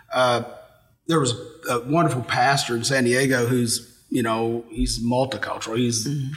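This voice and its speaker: A man of medium pitch with an American accent talks at a moderate pace and fairly even intonation amid noticeable background noise. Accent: Appalachian-tinged Ohio. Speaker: pastor. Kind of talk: casual chat.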